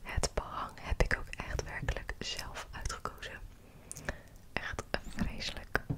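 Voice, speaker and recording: A woman whispers at a very slow pace. Her pauses are long and frequent. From Netherlands. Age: 20s. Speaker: ASMR creator. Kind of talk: ASMR rambling. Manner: soft-spoken. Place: home room. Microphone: studio mic.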